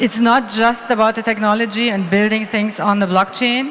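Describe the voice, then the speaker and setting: Noticeable background noise runs under the speech. The delivery is at a moderate pace in a monotone, flat intonation. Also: woman. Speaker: award presenter. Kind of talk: conference award presentation.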